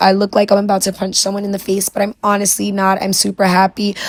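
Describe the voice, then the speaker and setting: The speech moves at a very fast pace. It carries a New York accent. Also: woman. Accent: New York (Bronx). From New York City, the Bronx. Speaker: wig stylist and beauty vlogger. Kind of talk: tutorial with story time. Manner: casual, chatty.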